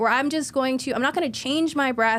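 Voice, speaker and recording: Her pace is fairly quick and her voice high. The woman's pitch varies in an ordinary way. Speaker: therapist. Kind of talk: interview conversation. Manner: fast talker.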